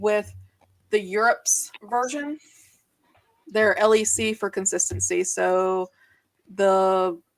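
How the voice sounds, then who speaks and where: In a Southern accent, a woman with a fairly high pitch speaks at a very slow pace. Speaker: podcast co-host, gaming reporter. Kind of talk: casual panel podcast chat. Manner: halting.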